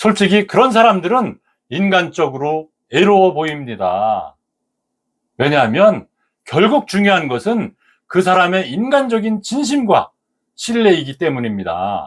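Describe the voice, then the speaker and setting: A man speaks at a very slow pace with long, frequent pauses. His pitch is high and swings very widely. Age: 70s. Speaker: senior lifestyle YouTuber. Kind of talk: reflective monologue to camera. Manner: calm, relaxed.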